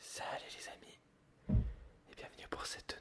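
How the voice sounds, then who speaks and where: A man whispering. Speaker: ASMR creator, art school student. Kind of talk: casual talk to camera, chatting about his life. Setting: indoors at home, ASMR recording with coffee sounds. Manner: whispered, soft-spoken.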